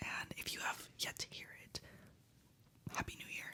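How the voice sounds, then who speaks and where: A man whispers fairly slowly while noticeable background noise runs underneath. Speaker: ASMR creator. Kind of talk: casual ASMR ramble to camera. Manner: whispered.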